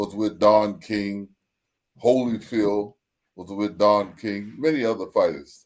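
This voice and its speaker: The man talks at a very slow pace. His pitch varies in an ordinary way. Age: 70s. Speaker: Nation of Islam member and boxing manager. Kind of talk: interview. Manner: halting.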